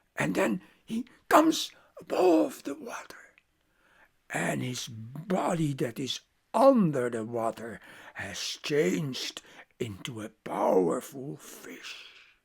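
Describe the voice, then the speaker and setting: A put-on character voice, raspy and low-to-middle in pitch, speaks at a fairly slow pace with long, frequent pauses. The recording is very clean, with a silent background. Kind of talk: oral myth storytelling. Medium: read story. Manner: halting, repetitive, conversational.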